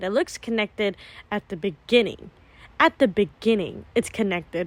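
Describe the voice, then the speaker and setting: A woman speaks loudly at a fairly quick pace. The sound is dry and close with no echo, on a very clean recording with a silent background. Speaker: travel vlogger. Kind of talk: vlog narration. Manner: animated.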